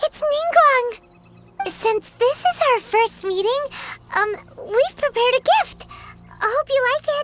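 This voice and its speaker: A cartoonish character voice at an extremely high pitch, fairly slow with long, frequent pauses, over faint music in the background. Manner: excitable, hesitant.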